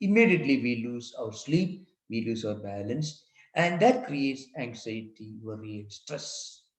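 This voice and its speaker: A man with a medium-pitched, somewhat breathy voice speaks at a fairly slow pace with lively intonation. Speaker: monk and spiritual teacher. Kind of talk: lecture.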